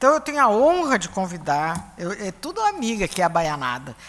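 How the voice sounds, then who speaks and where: Her pace is moderate, and the woman's voice rests at a medium pitch. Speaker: patient association president. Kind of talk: event introduction.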